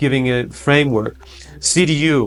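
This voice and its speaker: A man speaks at a medium pitch and a fairly slow pace. Noticeable background noise runs behind him. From Germany. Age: 50s. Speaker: politician. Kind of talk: interview. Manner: halting, many repetitions and fillers.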